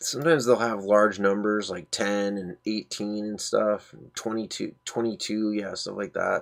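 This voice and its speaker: A soft-spoken man talks at a moderate pace with hardly any pauses. His fairly low voice swings widely in loudness. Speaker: screen-recording tutorial creator. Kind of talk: tutorial. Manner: animated. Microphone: distorts when talking loud.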